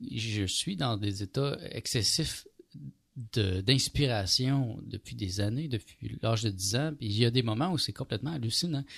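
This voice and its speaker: Recorded very cleanly against a silent background, a man speaks fairly slowly at a medium pitch, somewhat breathy, with ordinary pitch variation. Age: 40s. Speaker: radio host. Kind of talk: casual chat. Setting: studio.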